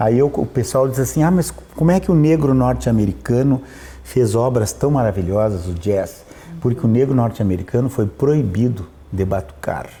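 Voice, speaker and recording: A man speaks at a medium pitch and a moderate pace, with lively intonation and very even loudness. He leaves long, frequent pauses, and there is noticeable background noise. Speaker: opera tenor. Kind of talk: interview conversation. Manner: animated.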